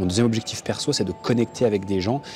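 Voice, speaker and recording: A man talks very fast in a fairly low register, his intonation fairly even, while noticeable background noise continues behind him. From France. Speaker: online business coach, vlogger. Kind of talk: vlog monologue. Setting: hotel. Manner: casual, with many hesitations.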